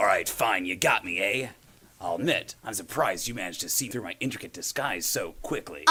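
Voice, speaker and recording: A man's put-on character voice at medium pitch, delivered at a fairly quick pace. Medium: stage play. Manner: boastful yet needy.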